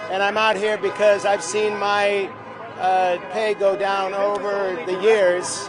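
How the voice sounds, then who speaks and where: Delivered at a very slow pace in a flat, monotone intonation. Music plays in the background, and the room echo is audible. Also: man, high pitch for a man. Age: 60s. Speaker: actor. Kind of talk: street interview. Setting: outdoors at picket line.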